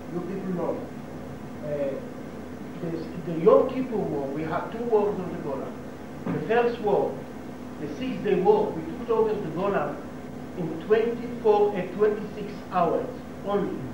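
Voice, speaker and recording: Long, frequent pauses break up a man's fairly slow speech, which has ordinary pitch variation. Noticeable background noise and audible room echo are present. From Israel. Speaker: local resident giving talk to tourists. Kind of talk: informal talk to tour group. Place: hall. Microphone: old recording.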